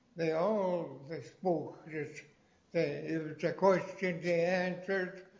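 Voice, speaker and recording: A man's high-pitched voice at a very slow pace, fairly even in intonation, with audible room echo. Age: 90s. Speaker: elder language teacher. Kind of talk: language class discussion. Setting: library class broadcast. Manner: halting.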